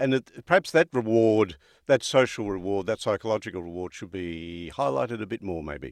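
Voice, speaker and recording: A man with an Australian accent at a fairly low pitch and moderate pace, lively intonation, dry, close sound with no echo and a quiet background. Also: big swings in loudness. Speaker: podcast host. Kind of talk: interview.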